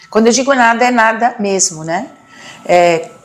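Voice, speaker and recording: A woman with a medium pitch and fairly even intonation, with noticeable background noise. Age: 60s. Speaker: motivational speaker and teacher. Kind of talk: interview testimony. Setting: studio. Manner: halting.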